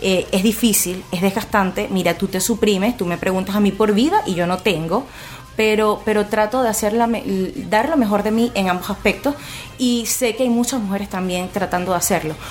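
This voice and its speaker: A woman talking at a moderate pace over noticeable background noise. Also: medium pitch for a woman, ordinary pitch variation. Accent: Venezuelan. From Venezuela, Puerto Ordaz (Guayana region). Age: 20s. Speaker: blogger and single mother. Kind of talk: radio interview.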